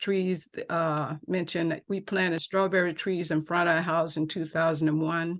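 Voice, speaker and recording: Her voice sits fairly low in pitch and stays monotone and flat as the woman talks at a moderate pace. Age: 70s. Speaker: property owner testifying at public hearing. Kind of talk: public hearing testimony. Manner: halting.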